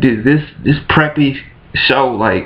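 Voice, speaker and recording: A man's fairly high-pitched voice. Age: 20s. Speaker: vlogger. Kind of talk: casual rant to camera. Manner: animated.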